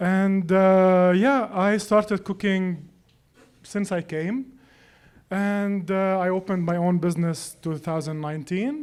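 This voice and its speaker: A high-pitched man at a fairly slow pace, with ordinary pitch variation, in a very clean recording with a silent background. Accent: Lebanese. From Lebanon. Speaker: personal chef. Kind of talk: casual chat.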